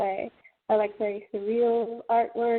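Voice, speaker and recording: This woman speaks at a fairly high pitch and a moderate pace. Her intonation is monotone and flat. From Scotland and Norway. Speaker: horror film writer and producer. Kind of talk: interview. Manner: hesitant with repetitions.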